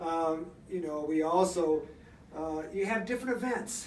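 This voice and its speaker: A man speaks with ordinary pitch variation. The room has audible echo, and there is noticeable background noise. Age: 70s. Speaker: senior athlete. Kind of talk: radio interview. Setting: radio studio.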